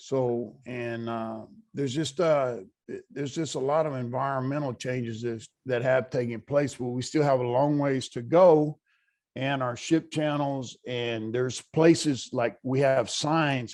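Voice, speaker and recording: An unremarkable speaking voice with an American accent moves at a fairly slow pace with fairly even intonation. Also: man, medium pitch for a man. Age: 60s. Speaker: pipe welder, audience member. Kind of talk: Q&A at virtual conference.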